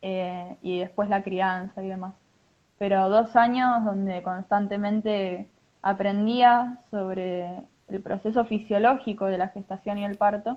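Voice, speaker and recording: Speaking at a fairly slow pace, a woman with a medium pitch keeps a flat, monotone intonation while her loudness swings widely. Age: 20s. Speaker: mother sharing birth story. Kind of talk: testimony. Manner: halting.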